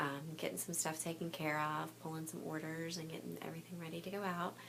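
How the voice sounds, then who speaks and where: A woman speaks quietly. Noticeable background noise is present. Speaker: clothing consultant and special education teacher. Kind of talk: casual vlog chat. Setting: home boutique at night. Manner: hesitant, many fillers.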